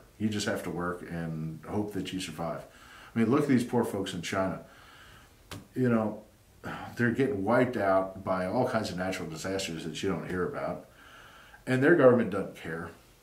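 Someone with a Southern US accent speaks at a moderate pace with ordinary pitch variation and long, frequent pauses. Audible room echo surrounds the voice. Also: man, fairly low pitch for a man. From US South. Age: 50s. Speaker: YouTuber; commentator. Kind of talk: monologue; casual opinion talk to camera. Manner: halting. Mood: earnest, opinionated. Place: home room.

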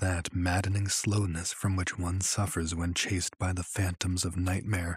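A man speaks at a moderate pace in a very deep, low voice that is somewhat breathy and monotone. The sound is dry and close with no echo, on a very clean recording with a silent background. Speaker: audiobook narrator. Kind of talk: dramatic narration of a horror story, read aloud.

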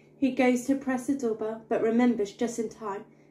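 A woman speaks at a moderate pace in a sing-song, somewhat breathy voice with a dark, mellow tone, with audible room echo and light background noise. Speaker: bedtime story narrator. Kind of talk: bedtime story reading aloud of a rhyming children's book. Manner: animated, playful storyteller with comic emphasis and sound effects; rhythmic, sing-song rhyming cadence. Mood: gentle, expressive storytelling. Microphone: phone near.

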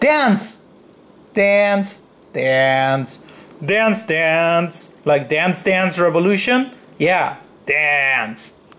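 A man speaks with a strong non-native accent at a high pitch for a man, his tone bright and sharp and his intonation lively. He talks at a very slow pace with long, frequent pauses and very even loudness. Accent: thick non-native. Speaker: hobbyist robot builder. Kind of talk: casual voice-command demo. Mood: playful, mildly frustrated. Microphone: phone near.

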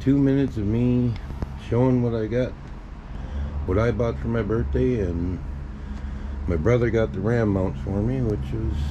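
Over noticeable background noise, a man talks at a fairly slow pace with long, frequent pauses. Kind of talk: casual vlog chat. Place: garage. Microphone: phone near.

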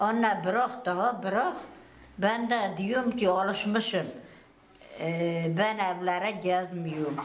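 Over noticeable background noise, the speech moves at a very slow pace. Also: woman. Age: 70s. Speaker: livestock farmer. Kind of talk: interview answer. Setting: outdoors.

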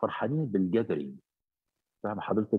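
This man talks at a fairly low pitch, his voice swinging very widely up and down. The background stays quiet. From Egypt. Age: 60s. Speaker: bishop. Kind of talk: interview. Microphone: video call.

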